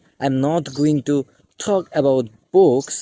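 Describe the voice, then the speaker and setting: The speaker talks at a very slow pace with a Bengali accent. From Bangladesh. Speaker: English teacher. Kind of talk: tutorial.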